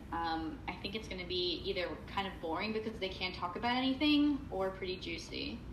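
A woman's medium-pitched voice with an American accent, lively intonation and a fairly quick pace, amid noticeable background noise and audible room echo. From New Jersey. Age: 20s. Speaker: podcast co-host. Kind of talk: casual chat.

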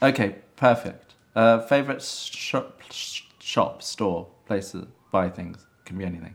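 A man with an English accent speaks at a very slow pace, his loudness swinging widely. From England. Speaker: interviewer. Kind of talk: casual interview.

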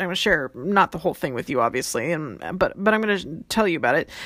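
A woman speaks in an animated tone, her pitch swinging very widely. The recording is very clean, with a silent background. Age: 40s. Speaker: life coach podcast host. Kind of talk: solo podcast monologue. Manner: fast.

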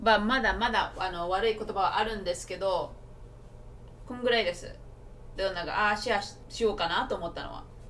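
A woman's fairly high voice at a very fast pace, fairly even intonation, long, frequent pauses, and noticeable background noise. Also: big swings in loudness. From Japan. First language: Japanese. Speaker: podcast co-host. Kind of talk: casual chat; scripted outro.

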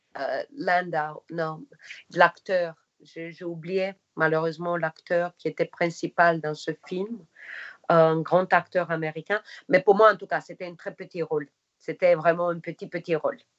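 A woman with a non-native accent talks at a fairly slow pace and a fairly low pitch. Her intonation is fairly even, but her loudness swings widely. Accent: foreign accent in French and English. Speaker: actress. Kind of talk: interview.

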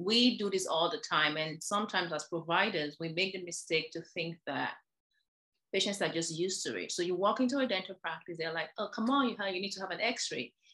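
A woman with a fairly low pitch and a bright, sharp tone. Her intonation is lively. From Nigeria. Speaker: dentist. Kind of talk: interview.

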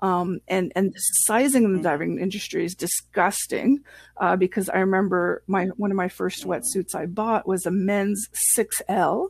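A woman's medium-pitched voice at a fairly slow pace, in a dry, close sound with no echo and a very clean recording with a silent background. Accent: French Canadian. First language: French. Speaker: scuba instructor. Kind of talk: casual interview chat.

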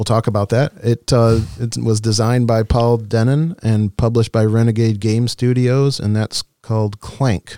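A man speaks at a moderate pace and medium pitch, his intonation fairly even and his tone dark and mellow, in a dry, close sound with no echo. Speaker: podcast host. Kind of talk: casual interview chat.

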